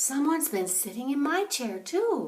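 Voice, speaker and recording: Putting on a character voice, a woman speaks at a moderate pace with a high pitch and very wide pitch swings. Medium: read story.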